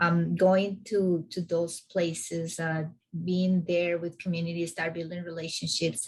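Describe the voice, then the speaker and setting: Somewhat breathy and fairly low-pitched, a woman with a non-native accent speaks at a moderate pace in a monotone, flat intonation. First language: not English. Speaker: climate justice organizer. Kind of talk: video call meeting discussion.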